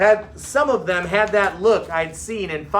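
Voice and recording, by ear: The text is read aloud in a natural voice.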